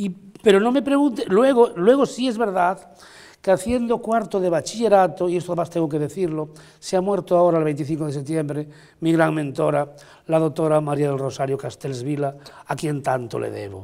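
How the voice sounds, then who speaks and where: In a very clean recording with a silent background, a man with a high, dark, mellow voice speaks at a moderate pace with very wide pitch swings. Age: 60s. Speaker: painter, writer and amateur Egyptologist. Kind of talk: TV interview.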